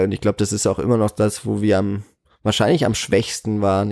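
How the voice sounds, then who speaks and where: On a very clean recording with a silent background, a man speaks in a fairly low, dark, mellow voice with monotone, flat intonation and a dry, close sound with no echo. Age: 20s. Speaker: cinema manager. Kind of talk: interview.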